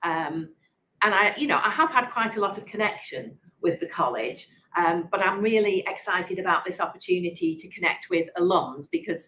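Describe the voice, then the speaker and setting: She speaks with an English accent. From England, Manchester. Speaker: prioress of a monastery. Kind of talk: interview conversation. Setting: online interview event. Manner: halting.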